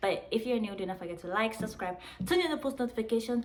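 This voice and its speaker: Room echo is audible and background noise is noticeable in this clip. A woman talks at a very fast pace with ordinary pitch variation. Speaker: YouTuber. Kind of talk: story time, casual vlog. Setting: at home, outdoors in sun. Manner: animated; quieter than usual.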